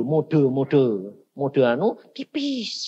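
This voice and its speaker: A man talks in an animated tone with very wide pitch swings. Noticeable background noise can be heard. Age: 60s. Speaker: evangelist preacher. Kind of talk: sermon. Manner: animated, colloquial storytelling.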